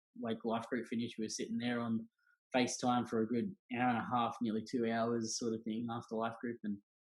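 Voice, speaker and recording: With an Australian accent, the speaker talks at a fairly quick pace in a monotone, flat intonation. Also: man, medium pitch for a man. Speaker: church young adults director. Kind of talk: casual interview chat. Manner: loud.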